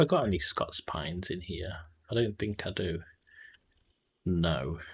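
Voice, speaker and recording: A man speaks at a fairly slow pace in a very deep, low pitch, with ordinary pitch variation and a somewhat breathy quality. The recording is very clean, with a silent background. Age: 30s. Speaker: video game streamer. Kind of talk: live gameplay stream chat.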